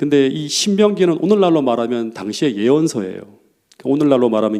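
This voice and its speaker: A man's dark, mellow tone over a quiet background. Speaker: pastor. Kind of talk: sermon. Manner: fast.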